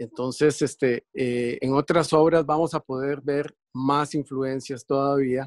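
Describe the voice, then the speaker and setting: A man speaks very slowly with hardly any pauses in a monotone, flat intonation, the sound dry with no echo and the background quiet. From Curaçao, raised in Costa Rica. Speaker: visual artist; interviewee. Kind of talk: interview, explaining his artworks. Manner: halting, many fillers. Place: workshop. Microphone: video call.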